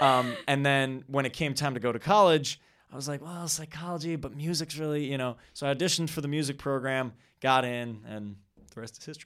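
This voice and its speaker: With an American accent, a normal speaking voice moves at a fairly quick pace, showing ordinary pitch variation and big swings in loudness. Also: man, fairly high pitch for a man, very clean recording, silent background. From Wisconsin. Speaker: guest, performer. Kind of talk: casual interview chat. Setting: studio.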